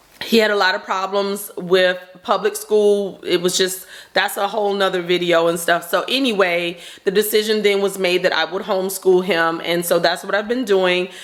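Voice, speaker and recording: A woman with a Southern US accent speaks at a moderate pace with fairly even intonation. Noticeable background noise runs behind her. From North Carolina. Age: 40s. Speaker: stay-at-home mom vlogger. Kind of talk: casual chat.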